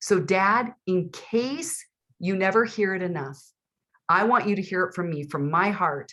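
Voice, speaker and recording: A woman speaks at a fairly slow pace in a medium-pitched voice with a bright, sharp tone. Her delivery is animated, with lively intonation. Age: 60s. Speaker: author and father-daughter expert. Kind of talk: interview.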